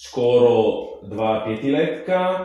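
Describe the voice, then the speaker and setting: There is strong room echo and light background noise as a man speaks with lively intonation. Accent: Italian. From Italy. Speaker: musician and Italian teacher. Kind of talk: interview answer. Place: home room.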